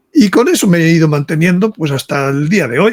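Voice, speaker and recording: With ordinary pitch variation, a man speaks in a high voice. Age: 70s. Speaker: author and speaker on religious topics. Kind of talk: interview. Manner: halting, with many repetitions.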